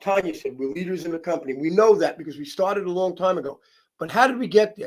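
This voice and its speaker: An animated, high-pitched man with lively intonation at a fairly quick pace. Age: 60s. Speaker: wellness product distributor. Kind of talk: testimonial interview.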